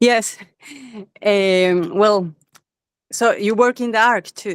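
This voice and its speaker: Very slowly and with fairly even intonation, a woman with a Spanish accent speaks at a medium pitch. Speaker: wellness specialist, attendee. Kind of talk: question on video call.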